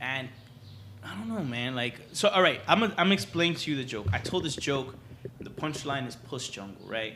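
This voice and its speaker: A man's medium-pitched voice with a bright, sharp tone, lively intonation, a moderate pace and audible room echo. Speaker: comedian. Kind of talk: casual chat. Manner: animated.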